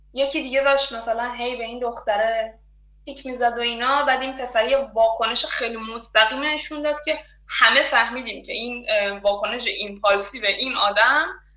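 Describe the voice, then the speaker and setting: A woman's high-pitched voice at a fairly quick pace, with fairly even intonation, over noticeable background noise. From Iran. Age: 20s. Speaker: design student. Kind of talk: interview, personal story. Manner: halting.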